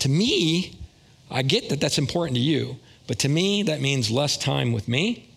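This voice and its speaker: Showing vocal fry, a man with a fairly high pitch speaks with lively intonation. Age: 60s. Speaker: lay preacher. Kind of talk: sermon. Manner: casual.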